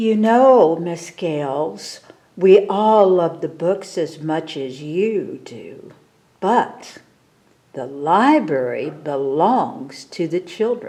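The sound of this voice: A woman puts on a character voice, low-pitched with a dark, mellow tone, speaking at a very slow pace with lively intonation.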